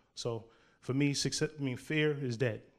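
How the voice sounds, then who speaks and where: The recording is very clean, with a silent background. A man talks at a moderate pace. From New York, Harlem. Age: 30s. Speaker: poet. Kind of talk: interview.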